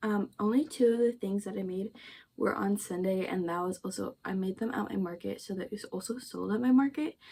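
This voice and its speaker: A woman with a somewhat breathy, dark, mellow tone speaks at a medium pitch and a fairly quick pace, with ordinary pitch variation. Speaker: crochet content creator. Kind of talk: casual vlog talk. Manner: casual with fillers.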